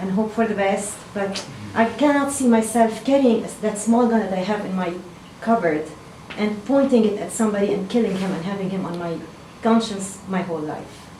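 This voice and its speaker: A woman with a Lebanese accent, fairly high-pitched, at a fairly quick pace with ordinary pitch variation, amid audible room echo and noticeable background noise. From Lebanon. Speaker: town hall attendee. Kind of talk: public comment at town hall. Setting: town hall meeting at a fire station.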